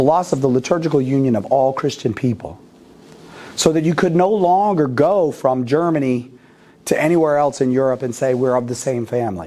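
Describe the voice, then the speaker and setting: With an American accent, a man in an ordinary speaking voice talks at a medium pitch and a fairly quick pace, his intonation lively. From United States. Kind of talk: lecture. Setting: parish hall with live audience.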